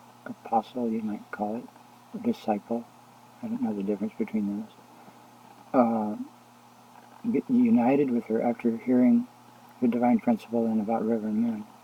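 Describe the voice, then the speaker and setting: A soft-spoken man at a moderate pace, medium pitch, monotone and flat, with long, frequent pauses. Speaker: religious video blogger. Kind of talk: casual religious monologue. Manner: halting.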